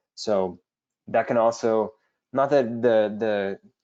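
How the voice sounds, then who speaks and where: With fairly even intonation and a medium pitch, a man talks in a normal speaking voice. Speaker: webinar host. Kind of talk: webinar Q&A tutorial. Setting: online webinar.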